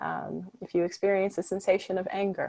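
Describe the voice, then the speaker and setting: Soft-spoken and dark, mellow in tone, this woman speaks at a moderate pace with a medium pitch. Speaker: meditation guide. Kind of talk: guided meditation.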